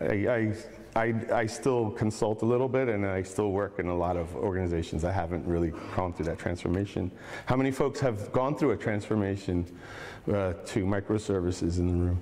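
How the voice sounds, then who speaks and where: A man's fairly low voice, an unremarkable speaking voice, at a fairly quick pace with ordinary pitch variation. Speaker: conference speaker. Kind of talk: lecture. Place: hall.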